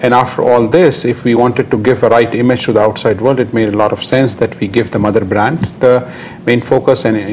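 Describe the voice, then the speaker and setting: Very fast delivery with very even loudness and fairly even intonation, over noticeable background noise. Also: man. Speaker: company director. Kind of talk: interview. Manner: halting.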